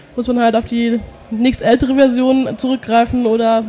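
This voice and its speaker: A woman at a fairly high pitch and a moderate pace with a monotone, flat intonation. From Germany, near Heidelberg. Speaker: Linux community volunteer. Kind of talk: interview. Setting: trade fair hall.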